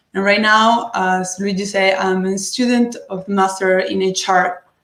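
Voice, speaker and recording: This woman has a Spanish accent and a medium pitch. Her intonation is fairly even, and her pace is moderate. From Venezuela, Caracas. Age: 20s. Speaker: psychology student. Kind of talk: self-introduction.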